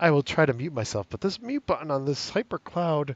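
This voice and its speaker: A man's fairly high-pitched voice with a northeastern US accent. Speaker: gaming streamer. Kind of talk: casual chat. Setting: live stream with headset.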